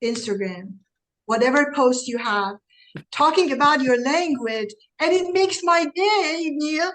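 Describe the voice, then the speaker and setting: A woman's lively intonation in a German accent. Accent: German accent, foreign. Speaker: real estate broker and mentor. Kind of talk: interview.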